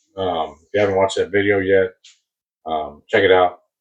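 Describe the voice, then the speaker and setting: Speaking at a fairly quick pace, a man uses a very deep, low pitch. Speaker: die-cast car collector YouTuber. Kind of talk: casual unboxing commentary. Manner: loud; hesitant, many fillers. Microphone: muffled, submarine-like sound.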